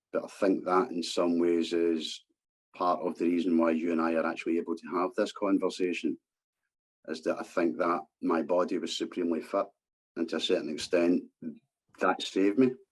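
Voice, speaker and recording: The speaker has a Scottish accent. Long pauses come often. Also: man, fairly quick pace. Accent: Scottish, subtle. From Scotland, East End of Glasgow. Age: 50s. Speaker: former scaffolder, vaccine-injury campaigner. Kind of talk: podcast interview. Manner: hesitant, many fillers.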